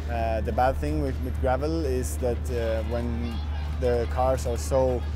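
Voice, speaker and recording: Against clear music in the background, a man speaks with a very deep, low pitch in a dry sound with no echo. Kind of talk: interview answer. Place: tent.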